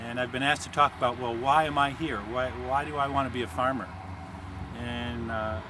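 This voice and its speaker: Through noticeable background noise, a man talks at a fairly quick pace in a medium pitch. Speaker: farmer. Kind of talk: interview answer. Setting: outdoors. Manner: calm.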